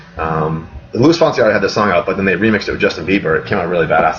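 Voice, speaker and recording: Over noticeable background noise, a man with an American accent talks at a very fast pace in an energetic tone. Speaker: real estate agent. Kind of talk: live webinar Q&A. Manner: casual, energetic.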